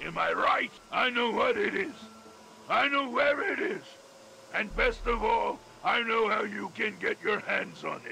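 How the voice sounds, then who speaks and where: A man speaks in a put-on character voice at an extremely high pitch, with long, frequent pauses and clear background noise. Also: moderate pace. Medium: machinima. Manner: articulate, polite.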